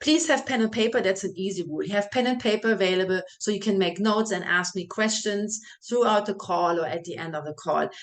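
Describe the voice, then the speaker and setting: A woman's medium-pitched voice at a moderate pace, with ordinary pitch variation and a quiet background. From Germany, small village. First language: German. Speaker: health and fitness coach. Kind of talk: welcome video talk to clients.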